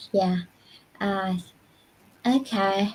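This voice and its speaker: In a Vietnamese accent, a woman speaks at a very slow pace. Her medium-pitched voice is somewhat breathy. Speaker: university lecturer. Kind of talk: panel discussion answer. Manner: halting, many fillers.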